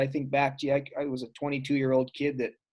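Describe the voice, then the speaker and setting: A man speaks at a moderate pace with a fairly high voice and an Albertan accent. The recording is very clean, with a silent background. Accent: Canadian (Alberta). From Alberta, Canada. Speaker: former pro football player. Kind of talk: casual interview chat.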